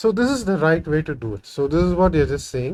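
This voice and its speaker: A man with a Tamil accent talks at a fairly quick pace, his fairly high voice moving in very wide pitch swings. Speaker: programming tutorial creator. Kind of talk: coding tutorial. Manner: halting, many fillers; casual, thinking aloud.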